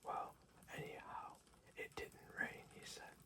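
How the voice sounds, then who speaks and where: A man whispers at a fairly slow pace. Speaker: ASMR bedtime story reader. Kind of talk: sleep story. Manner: whispered, soft-spoken.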